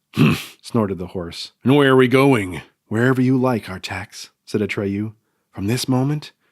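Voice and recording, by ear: Reading aloud in a natural voice with ordinary pitch variation against a quiet background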